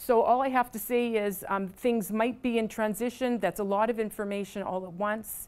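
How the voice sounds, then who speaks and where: A woman speaks with a fairly high pitch and fairly even intonation. She hardly pauses at all. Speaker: pharmacy college faculty presenter. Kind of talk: information session presentation with Q&A. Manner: fast; halting, many fillers.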